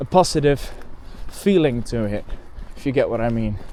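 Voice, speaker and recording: Over noticeable background noise, a man with a Dutch accent and a fairly high pitch talks at a moderate pace with ordinary pitch variation. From Netherlands. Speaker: bird photographer vlogger. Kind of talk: casual vlog monologue. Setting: outdoors, walking beside a road. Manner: halting, with fillers and self-repairs.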